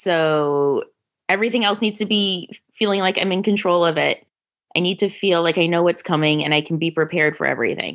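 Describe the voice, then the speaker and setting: A plain, everyday voice moves at a fairly quick pace. Its loudness stays very even throughout. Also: woman, fairly low pitch for a woman, ordinary pitch variation. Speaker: doctoral candidate and clinical counselor.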